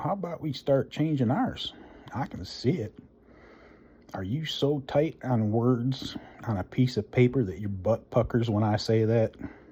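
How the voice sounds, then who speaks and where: A man with a dark, mellow tone speaks at a medium pitch. His pace is fairly slow and his intonation lively. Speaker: vlogger. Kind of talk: rant. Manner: loud; animated.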